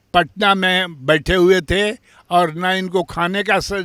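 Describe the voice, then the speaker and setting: Bright and sharp in tone, a man with a high pitch and fairly even intonation is recorded dry and close with no echo, very clean with a silent background. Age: 80s+. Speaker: institution founder. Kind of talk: interview statement. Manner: halting.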